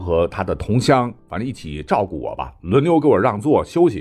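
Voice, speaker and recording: This man's voice has vocal fry and very wide pitch swings on a very clean recording with a silent background. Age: 40s. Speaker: history podcaster. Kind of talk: storytelling in a casual interview.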